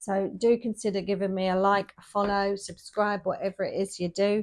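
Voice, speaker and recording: A woman talks at a moderate pace and medium pitch. The recording is very clean with a silent background. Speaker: tarot reader. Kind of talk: tarot reading monologue. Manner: casual, chatty.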